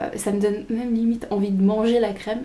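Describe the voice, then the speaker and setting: A fairly high-pitched woman at a fairly slow pace, with fairly even intonation and audible room echo. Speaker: beauty vlogger. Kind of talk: casual vlog, product unboxing. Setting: at home, early morning, handheld camera. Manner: hesitant, many fillers; soft-spoken.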